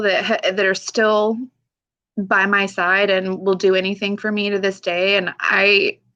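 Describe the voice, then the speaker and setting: A woman with an American accent, a normal speaking voice, medium pitch, and a fairly slow pace. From United States, Pacific Northwest. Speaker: army veteran, single mother. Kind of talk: interview answer. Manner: emotional, candid.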